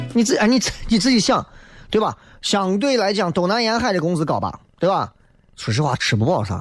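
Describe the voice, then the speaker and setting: Pitch swinging very widely, a man delivers his words fairly quickly. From Xi'an, Shaanxi. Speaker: radio talk show host. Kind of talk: live call-in radio talk show. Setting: radio studio. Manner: animated.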